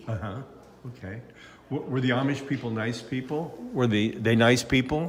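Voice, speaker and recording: Noticeable background noise accompanies a man with a medium pitch. He keeps a moderate pace with ordinary pitch variation. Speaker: interviewer.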